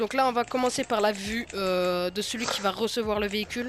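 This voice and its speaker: Noticeable background noise sits behind a woman with a fairly high pitch who talks at a fairly quick pace with fairly even intonation. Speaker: gaming youtuber. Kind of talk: gameplay tutorial. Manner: halting, many fillers.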